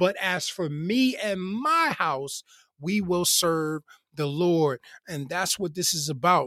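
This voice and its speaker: Recorded with a dry, close sound and no echo, a man speaks at a very slow pace and a high pitch, with ordinary pitch variation and a bright, sharp tone. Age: 40s. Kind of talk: devotional teaching monologue. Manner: casual, many filler words.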